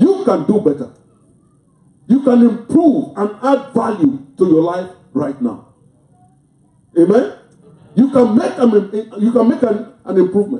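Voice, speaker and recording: In a quiet background with audible room echo, a man speaks at a high pitch with very wide pitch swings. His pace is fairly slow, broken by long, frequent pauses. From Africa. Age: 60s. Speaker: pastor. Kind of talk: sermon; prayer. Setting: church. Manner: animated. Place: church.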